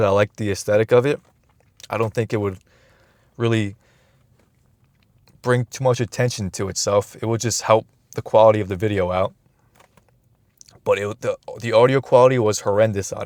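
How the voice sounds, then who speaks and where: A man talks at a medium pitch with fairly even intonation, leaving long, frequent pauses. The sound is dry and close, with no echo. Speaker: YouTuber. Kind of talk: casual monologue. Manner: fast.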